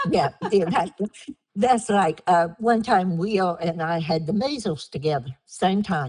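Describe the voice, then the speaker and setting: This is an unremarkable speaking voice with an American accent. It moves at a fairly slow pace with lively intonation. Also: woman, medium pitch for a woman. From Down East North Carolina, Harkers Island area. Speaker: oral history interviewee. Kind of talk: oral history interview.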